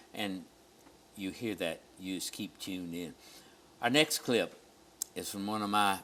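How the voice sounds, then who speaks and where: Pausing long and often, a man talks at a fairly slow pace in a fairly low voice with a bright, sharp tone and ordinary pitch variation. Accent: Southern US. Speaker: pastor and TV host. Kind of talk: TV show chat.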